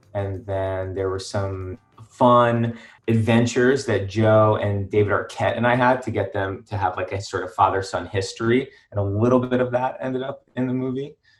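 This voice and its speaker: The pace is moderate and the intonation fairly even. Music plays in the background. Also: man, medium pitch for a man. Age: 30s. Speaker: film director. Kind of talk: interview.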